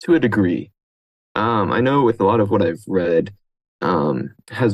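A man in a normal speaking voice, fairly low-pitched, with lively intonation at a moderate pace. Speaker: aspiring fantasy writer, community member. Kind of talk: panel discussion.

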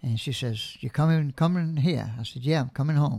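A man with a fairly high pitch and a dark, mellow, somewhat breathy tone speaks at a moderate pace with ordinary pitch variation in a very clean recording with a silent background. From New Orleans (Algiers, West Bank). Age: 70s. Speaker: artist and taxidermist, retired air force veteran. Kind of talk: interview conversation. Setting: at home, dining table. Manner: soft-spoken; gentle.

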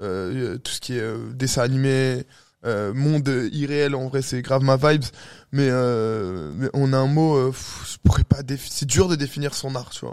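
The voice moves at a very slow pace. Its pitch variation is ordinary. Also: man, medium pitch for a man. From Algeria (heritage), raised in Paris. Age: 20s. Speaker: DJ and photographer. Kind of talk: casual interview.

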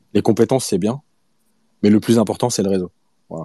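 A man's fairly low voice with a dark, mellow tone and ordinary pitch variation, dry and close with no echo against a quiet background. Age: 40s. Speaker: football coach and pundit. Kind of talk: casual chat. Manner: animated.

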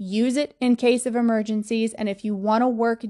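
A fairly quick, fairly high-pitched woman's voice with an American accent, monotone and flat, over a quiet background. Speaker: podcast host and manifestation coach. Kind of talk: motivational monologue. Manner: emphatic, repetitive; direct.

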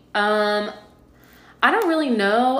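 A woman at a fairly slow pace with ordinary pitch variation, in audible room echo. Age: 20s. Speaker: podcast co-host. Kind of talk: casual chat.

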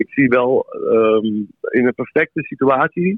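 A man speaks at a very slow pace in a medium pitch. His pitch varies in an ordinary way. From Amsterdam, Netherlands. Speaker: musician. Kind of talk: casual chat. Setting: phone call.

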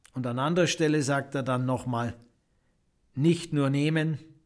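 Speaking at a fairly slow pace, a man uses a medium pitch with lively intonation. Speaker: podcast host, spiritual coach. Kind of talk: reflective monologue.

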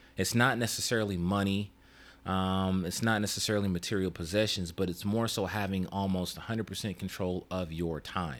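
Speaking at a fairly quick pace, a man with a very deep, low pitch is captured on a very clean recording against a silent background. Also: fairly even intonation. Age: 30s. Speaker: YouTube show co-host. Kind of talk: casual chat.

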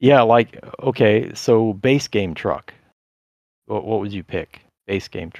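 Speaking at a very slow pace, a man shows ordinary pitch variation and big swings in loudness. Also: medium pitch for a man. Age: 40s. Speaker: podcast host. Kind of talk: casual interview chat. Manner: halting, filler-heavy.

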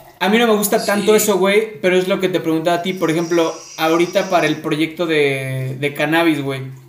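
With noticeable background noise, a high-pitched man speaks at a fairly quick pace with hardly any pauses and ordinary pitch variation. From Córdoba, Veracruz, Mexico. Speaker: podcast host. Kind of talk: casual chat.

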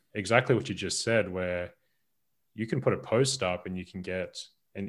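With an Australian accent, a man speaks in a very deep, low pitch with ordinary pitch variation, on a very clean recording with a silent background. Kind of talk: casual chat.

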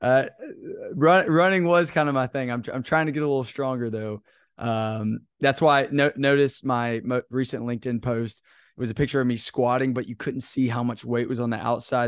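In a normal speaking voice, a man talks at a fairly quick pace and medium pitch, with ordinary pitch variation and a quiet background. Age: 20s. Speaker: leadership podcast host. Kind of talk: casual interview conversation.

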